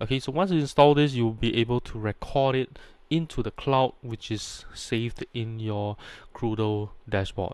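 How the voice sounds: A man's voice at medium pitch, clear, smooth tone with a slightly mellow quality and ordinary pitch variation. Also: moderate pace.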